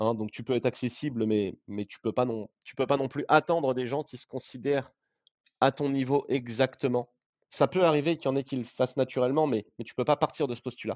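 A man at a medium pitch speaks with fairly even intonation while his loudness swings widely. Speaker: startup CEO. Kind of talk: interview testimony. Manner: natural, casual phrasing.

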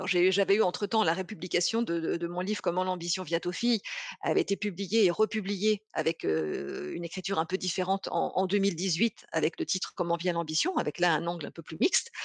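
Vocal fry at a fairly quick pace, fairly even intonation, dry, close sound with no echo. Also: woman, fairly low pitch for a woman. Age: 50s. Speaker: business consultant and author. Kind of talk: interview. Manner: halting, many repeated words.

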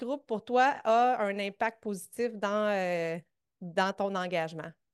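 A woman with a Quebec accent talks with ordinary pitch variation in a dry, close sound with no echo. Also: quiet background. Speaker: fitness coach and podcast host. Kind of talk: interview.

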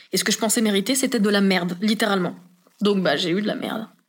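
A woman talks at a very fast pace in a fairly high pitch with ordinary pitch variation. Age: 20s. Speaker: podcast guest sharing personal story. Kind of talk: testimony. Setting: home living room recording.

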